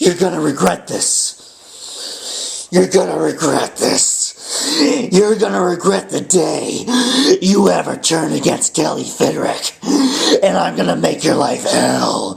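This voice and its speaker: Using a raspy, put-on character voice, a man speaks at a fairly high pitch and a fairly slow pace. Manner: menacing.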